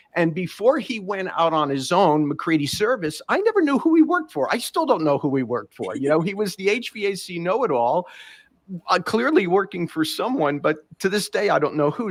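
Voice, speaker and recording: With a New York accent, a man speaks in a high pitch that moves in very wide swings. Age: 60s. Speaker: podcast host, former HVAC tradesman. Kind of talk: interview.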